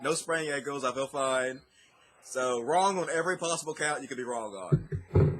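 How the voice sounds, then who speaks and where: A man with a fairly high pitch talks at a moderate pace in a normal speaking voice with ordinary pitch variation. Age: 30s. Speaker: atheist YouTuber. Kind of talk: interview answer.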